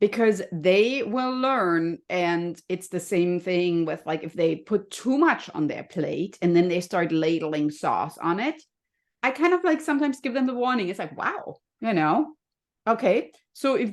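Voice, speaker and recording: A woman with a slight German accent speaks at a fairly slow pace. Her medium-pitched voice moves in very wide pitch swings. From Germany. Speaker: health and happiness coach. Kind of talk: podcast interview.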